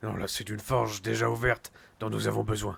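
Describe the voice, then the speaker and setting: A raspy, put-on character voice from a man, fairly low in pitch, at a fairly quick pace. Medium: game stream. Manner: measured, commanding.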